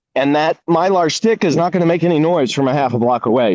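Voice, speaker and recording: Pitched fairly high, a man speaks with ordinary variation in his pitch. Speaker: resident asking questions at community workshop. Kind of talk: Q&A at community meeting. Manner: loud; halting.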